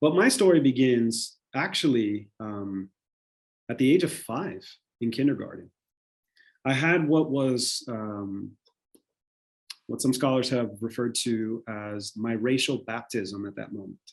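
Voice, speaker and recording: Speaking with a Spanish accent, a man uses a medium pitch and ordinary pitch variation at a fairly slow pace. His loudness swings widely, and he leaves long, frequent pauses. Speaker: panelist. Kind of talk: panel discussion. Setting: video call.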